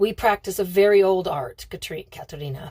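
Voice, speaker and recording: In a put-on character voice, a woman talks fairly quickly with a gruff, raspy sound, a medium pitch and ordinary pitch variation. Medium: read story. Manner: gruff and impatient.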